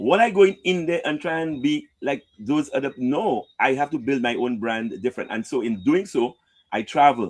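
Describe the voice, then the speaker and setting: A man speaks at medium pitch. His pitch swings very widely. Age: 60s. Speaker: radio broadcaster. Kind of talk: interview.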